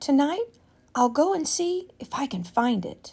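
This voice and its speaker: A woman puts on a character voice, high-pitched with very wide pitch swings, at a moderate pace. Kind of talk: bedtime story. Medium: read story. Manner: innocent, wide-eyed and wondering.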